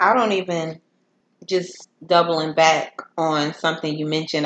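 Speaking at a moderate pace with fairly even intonation, a woman has a plain, everyday voice. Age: 20s. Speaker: podcast host. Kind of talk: casual chat.

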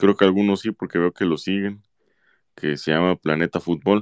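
Over a quiet background, a man with a very deep, low pitch speaks with fairly even intonation in a dry, close sound with no echo. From Mexico, Autlán de la Grana, Jalisco. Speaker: football fan commentator. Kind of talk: casual chat.

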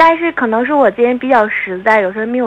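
A woman talks at a very fast pace with lively intonation and a fairly high pitch. Music plays in the background. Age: 20s. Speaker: caller. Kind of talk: phone-in personal story. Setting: phone call.

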